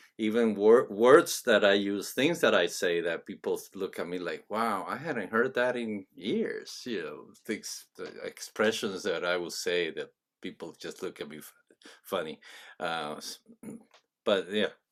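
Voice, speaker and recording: A man speaks at a fairly slow pace with a Spanish accent. The recording is very clean, with a silent background. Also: big swings in loudness. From Venezuela. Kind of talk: interview. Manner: halting.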